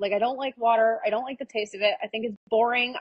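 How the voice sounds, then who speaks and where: This woman has an American accent. Her voice sits at a fairly high pitch. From Iowa, US Midwest. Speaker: entrepreneur. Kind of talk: podcast interview. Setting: live-streamed podcast. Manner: fast; confident.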